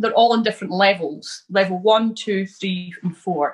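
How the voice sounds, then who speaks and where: In a Scottish accent, a somewhat breathy voice moves at a moderate pace with ordinary pitch variation. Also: woman. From Scotland, near Stirling and the Highlands. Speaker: immigrant interviewee. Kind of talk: casual interview.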